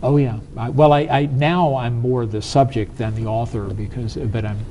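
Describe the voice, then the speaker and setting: At a moderate pace, a man speaks in an American accent with a medium pitch and ordinary pitch variation. Audible room echo and noticeable background noise come through. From US South. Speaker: business strategist. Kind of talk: interview.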